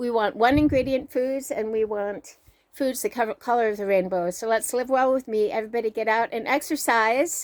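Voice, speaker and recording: At a fairly quick pace, a normal speaking voice moves with ordinary pitch variation on a very clean recording with a silent background. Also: woman, fairly high pitch for a woman. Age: 60s. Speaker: fitness trainer and motivational vlogger. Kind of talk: motivational vlog monologue.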